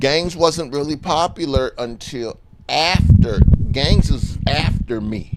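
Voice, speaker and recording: Noticeable background noise sits behind a man speaking at a very slow pace. His pitch is fairly high, with ordinary variation. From South Minneapolis, Minnesota. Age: 60s. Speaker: guest. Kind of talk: casual interview chat.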